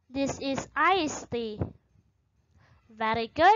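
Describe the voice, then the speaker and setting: Over a quiet background, the speaker talks at a very slow pace with lively intonation. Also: woman. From Indonesia. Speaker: English teacher. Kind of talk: lecture. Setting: recorded online class video. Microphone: webcam.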